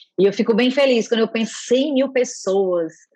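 A woman with a normal speaking voice talks at a moderate pace, fairly high in pitch with ordinary pitch variation. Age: 40s. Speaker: healthcare innovation manager. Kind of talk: interview.

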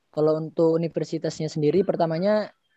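A man's high-pitched voice with a dark, mellow tone, flat monotone delivery and a very fast pace. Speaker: university student.

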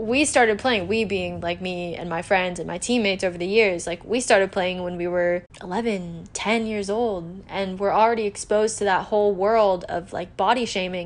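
An unremarkable speaking voice from a woman with an American accent, fairly even intonation and hardly any pauses. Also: medium pitch for a woman, moderate pace. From California. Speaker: podcast host. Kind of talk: casual solo podcast monologue.

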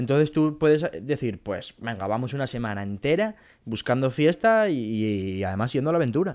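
On a very clean recording with a silent background, a man's voice shows very wide pitch swings. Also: medium pitch for a man, moderate pace. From Asturias, Spain (Mieres). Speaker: podcast co-host. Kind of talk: casual chat. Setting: home.

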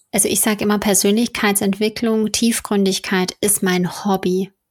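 In a flat, monotone intonation, a woman speaks at medium pitch. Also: very clean recording, silent background. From Ruhr area, Germany. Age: 30s. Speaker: magazine founder and editor. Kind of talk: casual interview.

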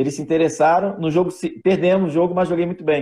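A man's fairly high voice with a Rio de Janeiro accent, dark and mellow in tone, fairly quick and fairly even in intonation, against a quiet background. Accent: carioca. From Rio de Janeiro, Brazil (Vila da Penha). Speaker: former professional footballer. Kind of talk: live podcast interview.

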